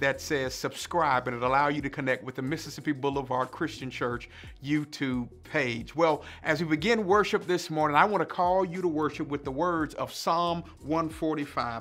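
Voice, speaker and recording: Faint music runs behind speech at a moderate pace with ordinary pitch variation. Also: man. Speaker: senior pastor. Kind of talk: worship welcome and announcements. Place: office.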